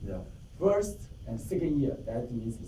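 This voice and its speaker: A man speaks very slowly in a dark, mellow tone with vocal fry and very wide pitch swings. Audible room echo surrounds his voice. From Taiwan. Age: 50s. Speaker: club member giving a speech. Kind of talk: prepared speech. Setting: club meeting with audience.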